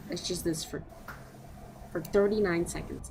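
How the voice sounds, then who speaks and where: A woman speaks quietly, with audible room echo around her voice. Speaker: live streamer. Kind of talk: casual live stream chat. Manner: quiet, keeping voice down.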